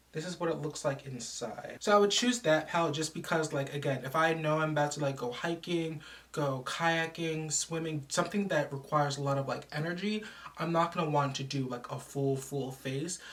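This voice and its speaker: A woman's very deep, low voice at a moderate pace with ordinary pitch variation, over noticeable background noise. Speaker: beauty vlogger. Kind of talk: casual vlog talk.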